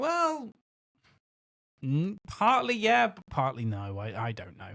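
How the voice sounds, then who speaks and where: With a West Country accent, the voice moves at a very slow pace with a bright, sharp tone, very wide pitch swings, and big swings in loudness. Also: man, fairly high pitch for a man. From West Country, England. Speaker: podcast co-host. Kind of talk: casual chat. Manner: halting.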